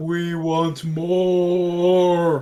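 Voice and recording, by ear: A man performs a put-on character voice. His pitch is high.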